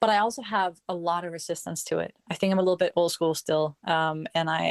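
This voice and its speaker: In a Danish accent, a woman talks at a fairly quick pace with fairly low pitch and fairly even intonation, the sound dry and close with no echo. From Denmark. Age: 30s. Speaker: professional dancer. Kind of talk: interview. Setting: online audio room.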